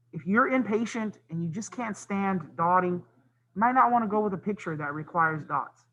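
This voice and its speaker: Raising and projecting his high-pitched voice, a man speaks with hardly any pauses, ordinary pitch variation and a bright, sharp tone. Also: moderate pace. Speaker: art teacher. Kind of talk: tutorial.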